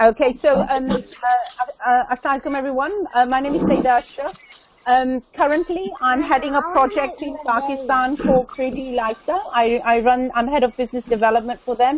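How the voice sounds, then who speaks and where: Someone with a London accent talks at a fairly quick pace with ordinary pitch variation, against noticeable background noise. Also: woman, high pitch for a woman. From London, England. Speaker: businesswoman and charity founder. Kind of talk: conference call introduction. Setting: online video call. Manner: halting.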